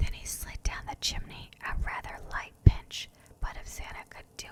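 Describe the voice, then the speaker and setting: Someone is whispering in a soothing tone at a fairly slow pace. Noticeable background noise can be heard. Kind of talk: ASMR bedtime story reading. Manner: whispered; soft, soothing.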